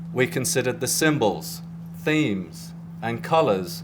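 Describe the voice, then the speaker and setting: A man's vocal fry at a fairly slow pace. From England, near London. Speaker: graphic design professor. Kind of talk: prepared speech. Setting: press event with audience. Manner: formal, some hesitations.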